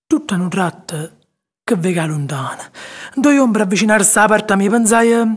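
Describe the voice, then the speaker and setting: At a moderate pace, a man speaks in a high voice. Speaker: actor. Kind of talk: poetry reading.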